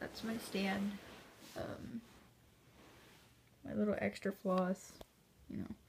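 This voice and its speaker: Her voice somewhat breathy, a woman speaks at a medium pitch with ordinary pitch variation. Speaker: cross-stitch hobbyist vlogger. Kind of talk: casual chat. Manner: rambling, halting with fillers.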